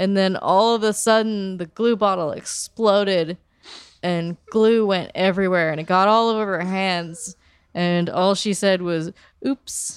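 Speaking at a fairly slow pace with fairly even intonation, the woman has an ordinary speaking voice in a medium pitch. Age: 30s. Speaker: podcast co-host. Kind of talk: casual chat.

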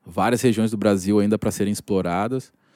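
A man's dark, mellow, fairly low voice with ordinary pitch variation, in a dry, close sound with no echo on a very clean recording with a silent background. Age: 30s. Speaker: football scout and franchise partner. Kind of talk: casual chat. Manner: halting.

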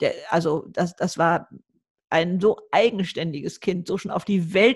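On a very clean recording with a silent background, a woman talks at a fairly slow pace. Her voice is somewhat breathy and fairly low in pitch. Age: 70s. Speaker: YouTuber and author. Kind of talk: podcast interview.

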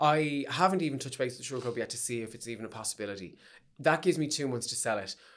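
Speaking at a very fast pace in a Dublin accent, a man's voice swings widely in loudness. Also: medium pitch for a man, ordinary pitch variation. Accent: Dublin Irish. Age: 30s. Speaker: drag performer and choreographer. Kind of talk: casual chat. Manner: animated.

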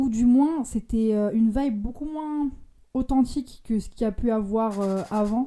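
Dark and mellow in tone, a woman's voice sits at a fairly high pitch with ordinary pitch variation. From France, Lyon. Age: 20s. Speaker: photographer, podcast panelist. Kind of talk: casual chat.

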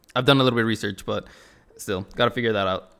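The recording is very clean, with a silent background. A man speaks at a medium pitch with fairly even intonation. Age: 20s. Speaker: podcast host. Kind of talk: solo casual monologue.

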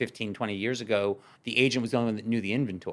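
A very fast American-accented man, fairly low in pitch, with ordinary pitch variation. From Brooklyn, New York. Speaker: podcast host, real estate agent. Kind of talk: interview. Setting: studio.

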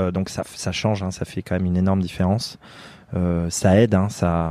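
This man has a very deep, low voice with a dark, mellow tone and fairly even intonation. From France, Limousin. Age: 30s. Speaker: mountaineer. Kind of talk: interview. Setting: outdoors. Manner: halting.

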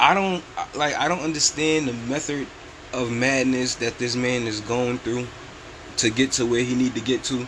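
Man at a moderate pace amid noticeable background noise. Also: medium pitch for a man. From New York City. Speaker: podcast host. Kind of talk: casual commentary. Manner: animated.

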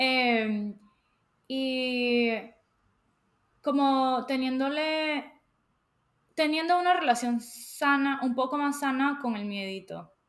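A woman's high-pitched voice at a very slow pace, with ordinary pitch variation and long, frequent pauses. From Latin America. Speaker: podcast co-host. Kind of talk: casual chat.

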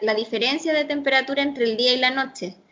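With a Chilean accent, a woman speaks at a high pitch with fairly even intonation. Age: 30s. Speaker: architect. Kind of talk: interview.

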